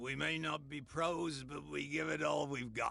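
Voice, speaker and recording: A raspy put-on character voice at a moderate pace, with fairly even intonation and light background noise. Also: man. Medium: video game.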